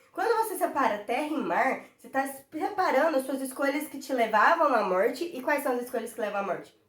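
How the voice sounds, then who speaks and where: A woman speaks fairly quickly. Her high pitch moves through very wide swings. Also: big swings in loudness. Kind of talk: devotional Bible teaching. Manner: fast; passionate.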